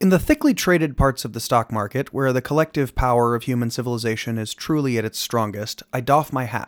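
In an unremarkable speaking voice, a man at a medium pitch with ordinary pitch variation talks at a fairly quick pace with hardly any pauses, in a dry, close sound with no echo on a very clean recording with a silent background. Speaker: podcast host reading a book aloud. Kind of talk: podcast announcement then audiobook-style reading.

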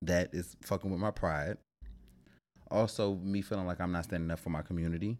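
A man with an American accent and a very deep, low pitch, at a fairly quick pace with long, frequent pauses and fairly even intonation, on a very clean recording with a silent background. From Washington D.C. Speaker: guest, delivery driver. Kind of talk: casual chat.

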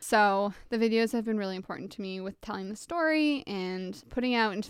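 A woman with a Canadian accent uses a normal speaking voice, medium in pitch, at a fairly quick pace. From Ontario, Canada (small town). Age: 20s. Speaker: pop singer. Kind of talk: casual interview. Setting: remote recording.

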